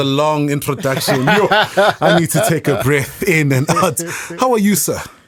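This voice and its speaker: Over noticeable background noise, a man with a fairly high voice speaks fairly slowly with lively intonation. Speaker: podcast host.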